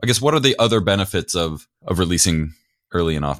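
Lively intonation marks this man's unremarkable speaking voice, delivered at a fairly quick pace. The recording is very clean, with a silent background. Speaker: podcast host. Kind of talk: podcast interview, host intro and outro.

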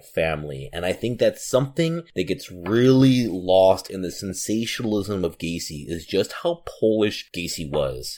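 A man with an American accent uses an ordinary speaking voice. His pitch is fairly low and his intonation lively. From Chicago. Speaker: podcast co-host, former teacher and social worker. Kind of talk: casual chat; scripted outro.

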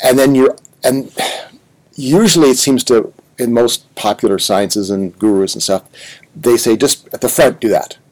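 A moderate pace with long, frequent pauses and ordinary pitch variation. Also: man, medium pitch for a man. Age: 60s. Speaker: podcast host. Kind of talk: interview conversation.

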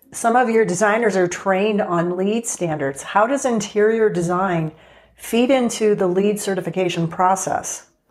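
A woman uses a normal speaking voice at a medium pitch, talking at a moderate pace with ordinary pitch variation. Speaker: TV show host. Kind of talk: scripted intro and interview.

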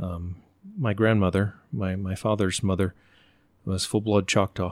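In a very clean recording with a silent background, a man with an American accent speaks at a very deep, low pitch. He talks at a fairly slow pace with ordinary pitch variation. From Oklahoma, later Virginia. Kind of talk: casual interview conversation. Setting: host's home.

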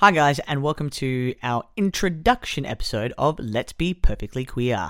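A man with a fairly high pitch and a normal speaking voice talks at a moderate pace with lively intonation, recorded very cleanly against a silent background. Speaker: teacher; podcast host. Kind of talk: casual chat.

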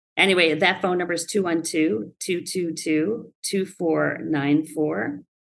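This woman talks at a very slow pace with vocal fry and hardly any pauses. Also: fairly low pitch for a woman, ordinary pitch variation. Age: 60s. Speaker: construction company owner. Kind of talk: interview.

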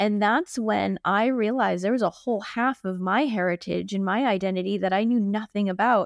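A plain, everyday voice at a fairly quick pace with fairly even intonation, on a very clean recording with a silent background and a dry, close sound with no echo. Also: woman, medium pitch for a woman. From US Northeast, Boston. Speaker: company co-founder. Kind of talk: interview conversation.

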